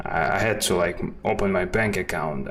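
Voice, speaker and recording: A man with a Russian accent at a fairly slow pace, with noticeable background noise and audible room echo. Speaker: 3D artist, stream host. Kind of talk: casual chat. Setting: live stream. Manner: halting, non-native phrasing.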